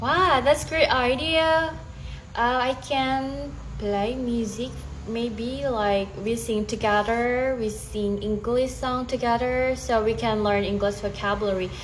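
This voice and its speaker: A woman with a fairly high pitch and an Indonesian accent speaks very slowly, with audible room echo around her voice. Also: ordinary pitch variation. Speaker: stay-at-home mother, English learner. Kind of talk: casual chat. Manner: halting.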